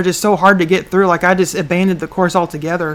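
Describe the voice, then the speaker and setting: A woman's medium-pitched voice, very fast in pace, with fairly even intonation. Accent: Southern US. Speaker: online business show host. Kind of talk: live stream chat. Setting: livestream. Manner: loud.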